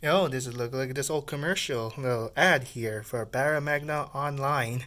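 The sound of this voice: The reading voice is unforced. It sounds the same from start to finish.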